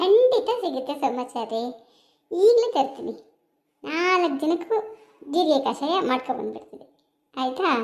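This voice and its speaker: Using a cartoonish character voice, a woman speaks high-pitched at a fairly slow pace with very wide pitch swings. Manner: practical, brisk.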